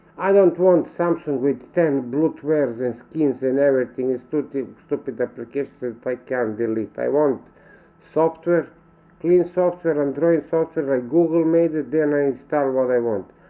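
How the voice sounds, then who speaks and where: A man with a Serbian accent, fairly high in pitch, at a moderate pace with ordinary pitch variation. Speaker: vlogger. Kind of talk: casual monologue vlog. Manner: halting, with self-corrections.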